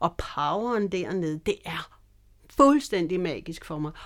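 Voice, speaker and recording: A woman speaking at a very slow pace on a very clean recording with a silent background. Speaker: bass player. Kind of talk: casual interview.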